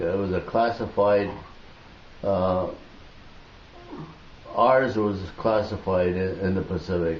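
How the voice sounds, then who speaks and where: Over noticeable background noise, a man with an American accent speaks at a very slow pace with fairly even intonation and long, frequent pauses. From United States. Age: 80s+. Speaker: war veteran. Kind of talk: interview answer.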